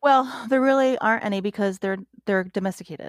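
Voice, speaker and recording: A woman talks at a moderate pace in a plain, everyday voice with ordinary pitch variation. The recording is very clean, with a silent background. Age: 40s. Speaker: zookeeper. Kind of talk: casual chat.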